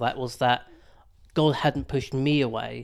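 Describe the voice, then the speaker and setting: A man in a southern English accent, monotone and flat, on a very clean recording with a silent background. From Hertfordshire, England. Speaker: churchgoer sharing mental health recovery. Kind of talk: testimony.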